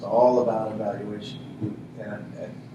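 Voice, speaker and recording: Noticeable background noise and audible room echo around a man's speech. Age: 50s. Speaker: high school English teacher. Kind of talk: workshop self-introduction. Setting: room with workshop audience. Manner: halting, many repetitions and fillers.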